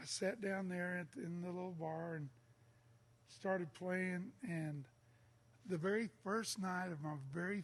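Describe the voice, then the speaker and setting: With an American accent, a man talks at a fairly slow pace in a high pitch, using ordinary pitch variation. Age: 60s. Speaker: singer-songwriter. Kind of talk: casual chat.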